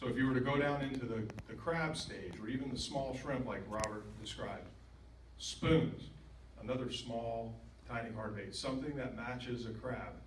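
Over noticeable background noise, a speaker with an American accent talks at a moderate pace with fairly even intonation. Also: man, medium pitch for a man. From Florida. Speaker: fishing expert. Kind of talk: talk to club meeting. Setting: meeting room with audience.

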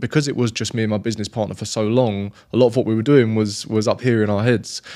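A man with a British accent talks very fast at a medium pitch. His intonation stays flat and monotone against a quiet background. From UK. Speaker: podcast host. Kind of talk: interview.

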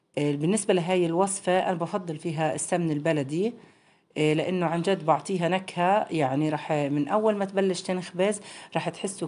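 The woman's voice sits fairly low, with a dark, mellow tone. She keeps a moderate pace and ordinary pitch variation. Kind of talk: tutorial. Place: home room. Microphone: phone near.

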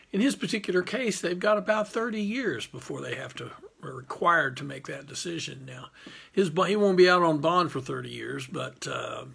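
A man talks at a moderate pace with big swings in loudness. The background is quiet. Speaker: criminal defense lawyer. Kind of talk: casual informational talk to camera. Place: office. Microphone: phone near.

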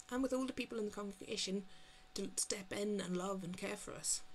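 A woman with a Northern Irish accent, medium pitch and ordinary pitch variation, at a moderate pace over light background noise. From Northern Ireland. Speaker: GP and church member. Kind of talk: testimony. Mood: calm, sincere, reflective. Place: home room. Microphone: webcam.

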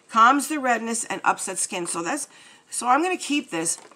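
Noticeable background noise sits behind a woman's voice. She speaks with a high pitch and lively intonation. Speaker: beauty YouTuber. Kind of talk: casual unboxing vlog. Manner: chatty, rambling.

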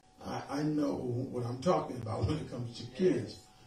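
Audible room echo sits over faint music playing in the background. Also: man. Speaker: preacher. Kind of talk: sermon. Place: home room.

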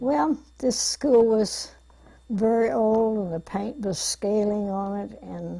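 Against a quiet background, a woman speaks in a somewhat breathy, dark, mellow tone. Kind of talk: interview answer. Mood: reminiscent, calm. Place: studio.

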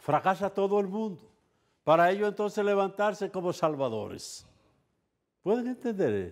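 Talking at a fairly quick pace, a high-voiced man shows ordinary pitch variation. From Dominican Republic. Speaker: TV show host and commentator; TV show host, commentator. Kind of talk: casual talk show commentary. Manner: animated. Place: studio. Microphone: lapel.

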